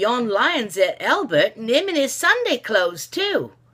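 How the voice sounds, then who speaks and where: A put-on character voice that sounds female, pitched high and swinging very widely up and down. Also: moderate pace. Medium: read story.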